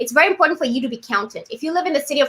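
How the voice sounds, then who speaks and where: A woman projects a raised voice with a bright, sharp tone, an animated delivery and lively intonation. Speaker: city training program host. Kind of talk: live webinar hosting. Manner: fast.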